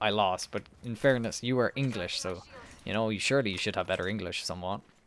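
In an Irish accent, a man speaks with a fairly low pitch and ordinary pitch variation, the sound dry with no echo and light background noise behind him. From Ireland. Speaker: gaming streamer. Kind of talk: casual chat. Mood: joking, bantering. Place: home room. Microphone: headset.

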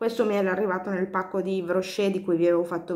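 Fairly quick speech plays against a quiet background. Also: woman. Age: 40s. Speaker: beauty vlogger; beauty product reviewer. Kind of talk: product review vlog. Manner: hesitant, many fillers. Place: home room. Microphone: phone near.

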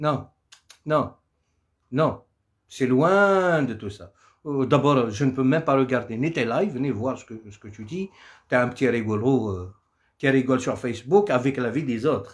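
Against a quiet background, a man with a medium pitch and lively intonation speaks at a fairly slow pace, his loudness swinging widely between long, frequent pauses. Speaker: Kabyle singer doing a live. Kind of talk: angry rant. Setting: live stream on social media. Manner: furious, combative and threatening. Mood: angry, defiant. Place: home room. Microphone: phone near.

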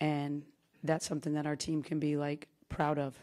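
A woman with a very deep, low pitch and a dark, mellow tone speaks at a moderate pace over a quiet background. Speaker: basketball head coach. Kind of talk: interview answer. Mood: subdued, emotional after elimination. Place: hall. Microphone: podium.

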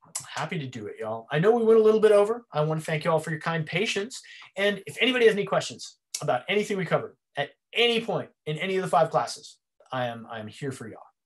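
A high-pitched man speaks at a very fast pace against a quiet background. His pitch swings very widely and his loudness shifts a lot. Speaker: martial arts instructor; presenter. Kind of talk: lecture. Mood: warm, grateful. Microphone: video call.

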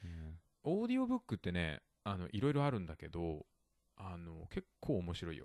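Over a silent background on a very clean recording, a man with a very deep, low voice speaks at a moderate pace with lively intonation. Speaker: podcast host. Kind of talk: casual bilingual chat teaching vocabulary. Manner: laughs often.

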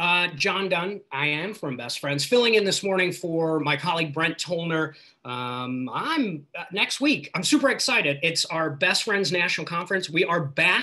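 Over a quiet background, a man with a high pitch talks at a moderate pace with ordinary pitch variation. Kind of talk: announcement on a group call. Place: home room. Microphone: video call.

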